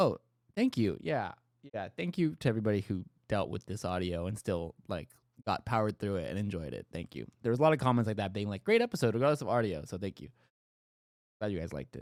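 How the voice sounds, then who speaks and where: A man talks at a very fast pace in a fairly low pitch, with lively intonation. The recording is very clean with a silent background, and the sound is dry and close with no echo. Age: 20s. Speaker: streamer. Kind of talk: casual chat. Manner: animated.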